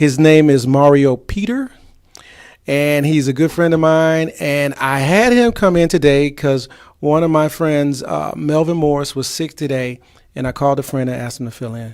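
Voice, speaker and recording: With a normal speaking voice, a man keeps a moderate pace, pitched fairly high with ordinary pitch variation. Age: 50s. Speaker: talk show host. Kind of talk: casual chat.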